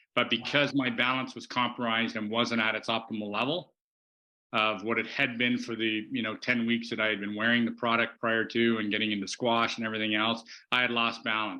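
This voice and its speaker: A man talks at a medium pitch with a bright, sharp tone. His intonation is monotone and flat. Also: fairly quick pace, quiet background. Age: 60s. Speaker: guest on a wellness technology podcast. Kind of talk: casual chat.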